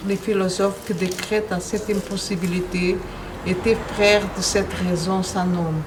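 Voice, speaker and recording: In a Portuguese accent, a woman speaks at a fairly slow pace and medium pitch with monotone, flat intonation, amid noticeable background noise and audible room echo. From Angola, then Portugal. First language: Portuguese (speaking French). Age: 60s. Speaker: poet. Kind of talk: poetry reading. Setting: poetry festival interview.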